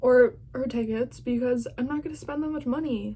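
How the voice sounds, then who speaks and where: A woman is talking. Her pace is moderate. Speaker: vlogger reacting to an interview. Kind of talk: casual reaction vlog. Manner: loud.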